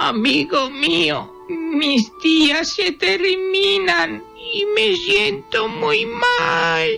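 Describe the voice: In a put-on character voice that sounds female and fairly high, the speaker moves at a very slow pace with hardly any pauses and very wide pitch swings over clear background music.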